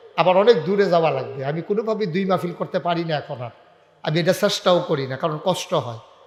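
This man talks in a high pitch. It shifts in an ordinary way. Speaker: Islamic preacher. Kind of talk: sermon. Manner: animated.

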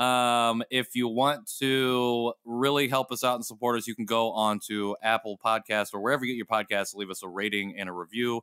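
A man speaks at a moderate pace and medium pitch with a bright, sharp tone, fairly even intonation and hardly any pauses, in a dry, close recording with no echo that is very clean against a silent background. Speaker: podcast host. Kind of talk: casual chat. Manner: playful.

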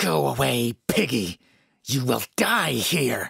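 A put-on character voice, raspy and low in pitch. It moves at a very slow pace. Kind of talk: shouted, hostile. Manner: seething, angry, hateful.

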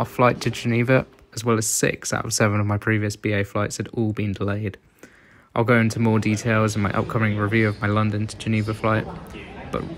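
A man with a British accent, fairly low in pitch, at a fairly quick pace. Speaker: travel vlogger. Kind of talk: scripted narration. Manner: monotone.

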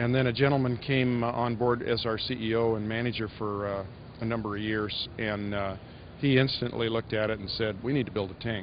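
Light background noise sits behind a man speaking at a fairly quick pace in a flat monotone. His voice sounds dry, with no echo. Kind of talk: interview answer. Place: hall. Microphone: handheld.

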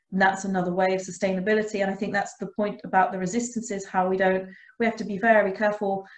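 A woman talks at a fast pace and medium pitch with little pitch movement and audible room echo.

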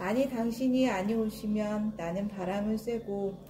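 Over noticeable background noise, a woman with a medium pitch speaks in fairly even intonation. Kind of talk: poetry reading.

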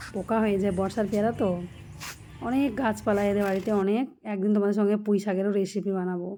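A woman speaks at a medium pitch with a dark, mellow tone, very even loudness and a monotone, flat intonation. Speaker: food and daily-life vlogger. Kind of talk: casual vlog narration to camera. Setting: at home and at a market, handheld camera.

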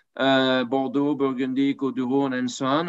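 A man talks with a French accent and ordinary pitch variation against a quiet background. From France. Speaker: wine merchant; panelist. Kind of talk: panel discussion. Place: home room. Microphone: video call.

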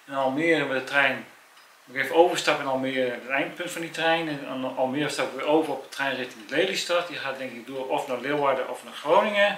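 Over light background noise and audible room echo, a man speaks at a moderate pace with fairly even intonation. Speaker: friend visiting. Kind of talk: casual chat. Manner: halting. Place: home room. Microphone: camera far.

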